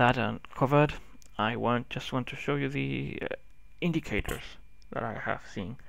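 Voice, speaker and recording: Medium-pitched male voice with a Spanish accent at a moderate pace, in a very clean recording against a silent background. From Spain. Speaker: tech YouTuber. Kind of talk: software review tutorial. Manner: halting.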